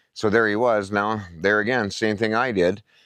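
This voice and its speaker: This man has an Albertan accent and speaks at a moderate pace. The background is quiet. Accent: Canadian (Alberta). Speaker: camping vlogger. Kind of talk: casual vlog talk. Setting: outdoors at campground. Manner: conversational with many fillers.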